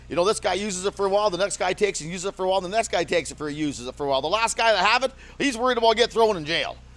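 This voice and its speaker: A loud man talks at a very fast pace with hardly any pauses. His high pitch moves in lively intonation. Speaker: local resident fighting wildfire. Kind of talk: on-the-street interview.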